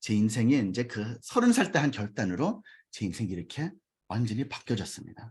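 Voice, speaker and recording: Somewhat breathy and medium in pitch, a man talks at a fairly quick pace with lively intonation. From US, New York. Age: 40s. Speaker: network marketing business leader. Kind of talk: business seminar talk with personal testimony.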